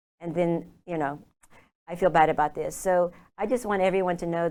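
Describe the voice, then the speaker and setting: A woman with an Oklahoma accent talks at a very fast pace in a fairly low pitch and a dark, mellow tone, with fairly even intonation, on a very clean recording with a silent background. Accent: American, Oklahoma. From Oklahoma, US. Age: 60s. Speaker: lifestyle consultant. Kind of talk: interview.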